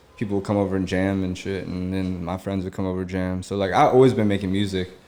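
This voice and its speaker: In a very deep, low voice with an American accent, a man rattles off words at a very fast pace in a flat monotone. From US Mid-Atlantic, Germantown, Maryland. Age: 30s. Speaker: rapper and studio owner. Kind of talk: casual chat. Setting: studio.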